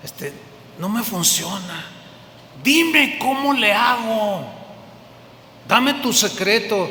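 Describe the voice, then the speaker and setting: A man projects a raised voice at a high pitch with lively intonation, speaking at a very slow pace with long, frequent pauses. The recording carries noticeable background noise and audible room echo. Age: old. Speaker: pastor. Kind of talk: sermon.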